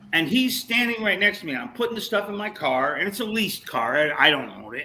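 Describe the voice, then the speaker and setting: Over noticeable background noise, a man with a high pitch speaks in a raised, projected voice at a very fast pace, with an animated tone and lively intonation. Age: 70s. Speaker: musician. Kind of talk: casual chat.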